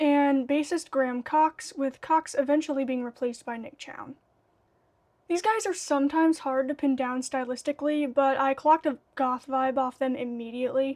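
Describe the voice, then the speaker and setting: An American accent at a moderate pace, with ordinary pitch variation and a dry, close sound free of echo. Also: woman, high pitch for a woman. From United States. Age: 20s. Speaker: goth music YouTuber. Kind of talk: casual vlog commentary.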